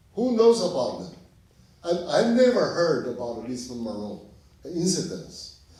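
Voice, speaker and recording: A man with a high-pitched voice talks at a fairly slow pace, his pitch swinging very widely and his loudness rising and falling sharply, with long, frequent pauses and audible room echo. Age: 70s. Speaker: film director. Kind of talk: Q&A answer after film screening. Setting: stage with audience in cinema. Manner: halting.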